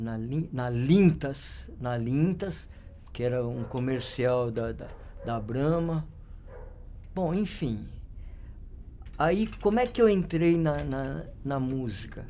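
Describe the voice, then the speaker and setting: A man speaks very slowly at medium pitch, leaving long, frequent pauses. His dark, mellow tone carries lively intonation amid audible room echo. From São Paulo, Brazil (north zone). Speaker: photographer. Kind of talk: interview storytelling. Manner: halting, many fillers and repetitions.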